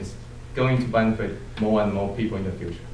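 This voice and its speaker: A man's fairly low voice with a Chinese accent and fairly even intonation, amid audible room echo and noticeable background noise. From China. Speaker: Toastmasters club member, student. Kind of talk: farewell speech. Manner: halting.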